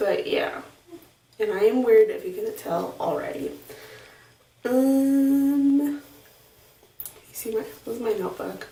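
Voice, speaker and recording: A woman's quiet, high voice at a fairly slow pace, with very wide pitch swings, long, frequent pauses and audible room echo. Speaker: vlogger. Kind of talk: video diary. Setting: home bathroom. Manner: hesitant, many fillers.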